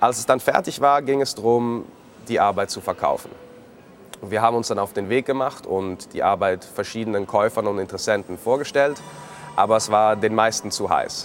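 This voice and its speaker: At a moderate pace, a man speaks with a medium pitch and ordinary pitch variation over noticeable background noise. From Switzerland, Zurich. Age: 30s. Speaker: living artwork, tattooed art subject. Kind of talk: personal account to camera.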